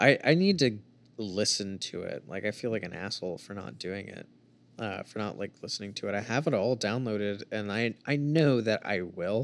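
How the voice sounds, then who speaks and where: On a very clean recording with a silent background, a man speaks in an unremarkable speaking voice. His pace is moderate, with ordinary pitch variation and big swings in loudness. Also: fairly low pitch for a man. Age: 20s. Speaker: podcast guest. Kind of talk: casual chat.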